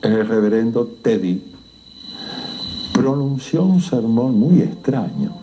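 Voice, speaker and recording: A man with an Argentine accent, medium-pitched, with very wide pitch swings, a very slow pace, long and frequent pauses, and noticeable background noise. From Argentina. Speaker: writer. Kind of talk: horror story narration.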